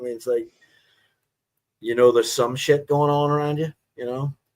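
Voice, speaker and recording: A man's fairly high voice at a fairly quick pace, in a very clean recording with a silent background. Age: 40s. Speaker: livestreamer. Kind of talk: casual chat.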